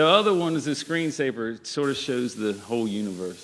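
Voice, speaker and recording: With a Virginia accent, a man talks using lively intonation. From Virginia, US South. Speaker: farmer. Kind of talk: panel discussion.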